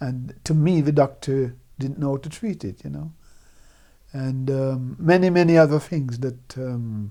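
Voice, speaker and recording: With a dark, mellow tone and medium pitch, a man speaks at a fairly slow pace, showing ordinary pitch variation and big swings in loudness. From Jamaica, Clarendon. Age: 70s. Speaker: Windrush-generation migrant, former bus worker. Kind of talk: oral history interview. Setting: recorded interview in the evening. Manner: hesitant, repeats words.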